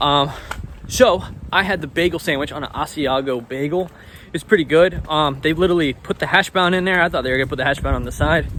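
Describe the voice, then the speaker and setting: A man with a fairly high pitch and ordinary pitch variation speaks at a very fast pace, with noticeable background noise behind him. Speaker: travel vlogger. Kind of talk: casual chat. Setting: outdoors. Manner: loud.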